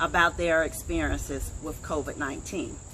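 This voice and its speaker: The speech moves at a fairly slow pace. Vocal fry runs through it. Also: woman. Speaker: online show host. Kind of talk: casual interview. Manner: loud.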